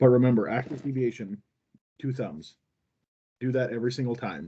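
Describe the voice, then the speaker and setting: A man talks at a fairly quick pace and a medium pitch. His tone is dark and mellow, with ordinary pitch variation. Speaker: cardiology instructor for nurses and residents. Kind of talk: online lecture. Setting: video call with screen sharing. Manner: fast.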